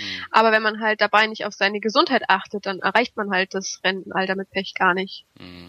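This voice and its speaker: A woman speaks at a fairly quick pace in a bright, sharp tone. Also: dry, close sound with no echo. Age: 20s. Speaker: mechanical engineer and finance blogger. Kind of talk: interview.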